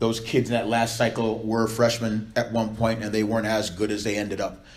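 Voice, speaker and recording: Amid audible room echo, a man with a medium pitch speaks at a fairly quick pace. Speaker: volleyball coach. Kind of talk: speech to supporters. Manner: loud; fast.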